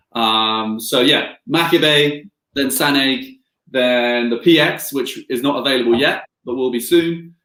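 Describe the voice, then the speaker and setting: A man speaks with a slight Scottish accent. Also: big swings in loudness. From Scotland. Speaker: distillery representative. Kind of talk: live whisky tasting. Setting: livestream.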